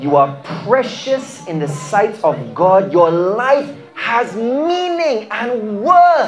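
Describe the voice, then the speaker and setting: Over light background noise, a man speaks at a very slow pace with very wide pitch swings. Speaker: preacher, charity mission leader. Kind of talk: sermon-style encouraging message. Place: church. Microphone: handheld.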